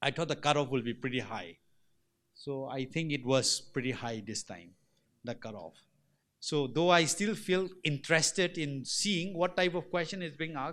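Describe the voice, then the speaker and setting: A man talks in an unremarkable speaking voice at a moderate pace. His pitch is fairly high and his intonation lively. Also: very clean recording, silent background. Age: 40s. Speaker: civil servant. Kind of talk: panel talk with audience.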